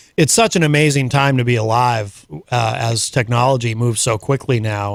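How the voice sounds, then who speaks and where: A man speaks at a fairly quick pace with fairly even intonation and medium pitch. He has an ordinary speaking voice. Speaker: radio host. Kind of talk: radio interview questions.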